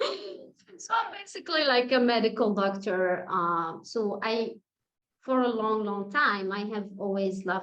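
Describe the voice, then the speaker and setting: Very slow speech in an Arabic accent. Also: woman. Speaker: medical doctor and facilitator. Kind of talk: casual interview chat. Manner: hesitant with fillers.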